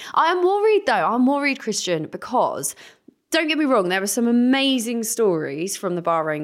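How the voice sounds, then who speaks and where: With an English accent, a woman speaks at a moderate pace with lively intonation. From England. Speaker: podcast co-host. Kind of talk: casual chat.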